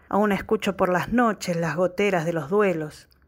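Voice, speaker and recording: A woman talks at a medium pitch with ordinary pitch variation in an unremarkable speaking voice. The recording is very clean, with a silent background. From Argentina. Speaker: graphic designer and poet. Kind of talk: poetry reading.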